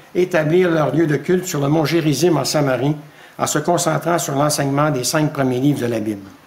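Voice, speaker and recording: A man's fairly high voice at a fairly quick pace, with ordinary pitch variation and audible room echo. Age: 70s. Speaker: preacher. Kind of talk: sermon.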